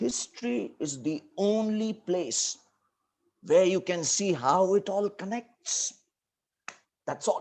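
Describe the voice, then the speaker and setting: Someone with a north Indian accent speaks at a very slow pace, leaving long, frequent pauses. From India, Delhi / Uttar Pradesh region. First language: Hindi. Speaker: teacher. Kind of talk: lecture.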